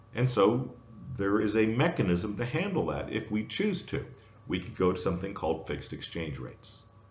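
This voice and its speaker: In a room with audible echo, a man with an American accent talks at a fairly quick pace, his fairly low, somewhat breathy voice swinging very widely in pitch. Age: 60s. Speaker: professor. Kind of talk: lecture.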